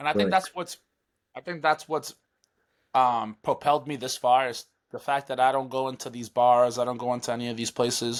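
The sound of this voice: At a fairly quick pace, a man speaks at medium pitch with fairly even intonation.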